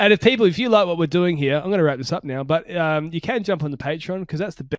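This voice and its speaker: Speaking at a very fast pace with an Australian accent, a man uses a high pitch and ordinary pitch variation. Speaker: podcast host. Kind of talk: casual chat. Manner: mumbling.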